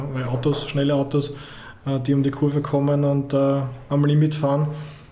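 With noticeable background noise and audible room echo, a man talks in a fairly high pitch using monotone, flat intonation. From Austria, Vienna / Purkersdorf. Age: 40s. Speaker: football federation digital content head. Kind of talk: interview.

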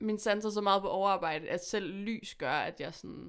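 A woman talks at a fairly slow pace with vocal fry. The recording is very clean, the background silent. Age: 20s. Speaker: musician. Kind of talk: casual chat. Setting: studio.

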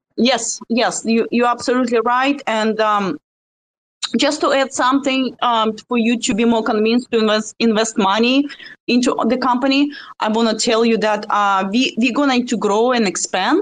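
A woman with a Russian accent speaks at a moderate pace, her pitch fairly high. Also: ordinary pitch variation. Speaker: community member. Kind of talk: casual group discussion. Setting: remote audio connection.

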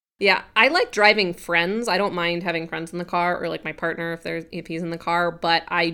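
With an American accent and a bright, sharp tone, the speaker keeps a moderate pace in a very clean recording with a silent background. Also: woman. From Colorado, Grand Junction. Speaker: writer and web series director. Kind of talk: casual chat.

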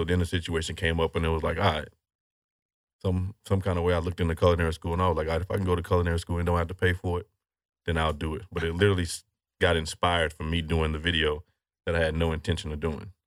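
In an American accent, a man talks at a very fast pace with a very deep, low pitch and a monotone, flat intonation, the sound dry and close with no echo in a very clean recording over a silent background. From Houston, Texas. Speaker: chef and restaurateur. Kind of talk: casual interview chat.

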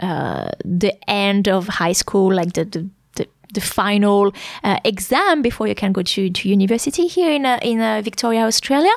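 A woman at a medium pitch with a French accent and lively intonation. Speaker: French teacher and podcast host. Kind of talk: educational podcast monologue. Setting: podcast recording. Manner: clear and concise; hesitant with fillers.

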